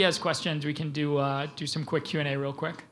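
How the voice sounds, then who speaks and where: Very fast speech from a man, with audible room echo. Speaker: tech company CEO, keynote speaker. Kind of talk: conference keynote with Q&A. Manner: casual, many fillers.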